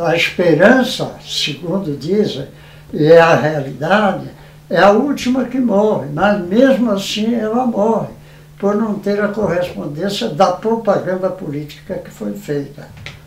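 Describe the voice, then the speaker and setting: Against noticeable background noise, a man talks fairly slowly with a high pitch and lively intonation. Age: 80s+. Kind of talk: interview answer.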